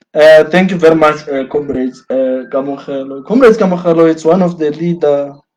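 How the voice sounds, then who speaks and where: At a fairly slow pace, a man speaks with a fairly high pitch. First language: Sotho. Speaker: student activist. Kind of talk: address to students, live stream talk. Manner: animated, repetitive.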